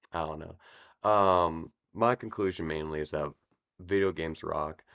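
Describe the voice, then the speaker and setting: Over a quiet background, a man speaks at a very slow pace in a dry, close sound with no echo. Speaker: video essay youtuber. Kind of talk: casual monologue. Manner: halting, many fillers.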